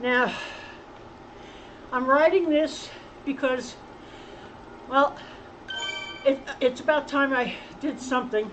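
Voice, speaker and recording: A woman with a high pitch talks at a very slow pace with long, frequent pauses and fairly even intonation, with noticeable background noise behind her. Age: 70s. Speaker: cycling channel host. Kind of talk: casual vlog talk while riding. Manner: halting.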